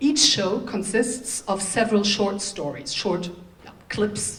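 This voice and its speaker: The woman's voice has a medium pitch and ordinary pitch variation at a fairly slow pace. Audible room echo and noticeable background noise fill the recording. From Germany. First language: German and Turkish. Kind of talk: conference speech.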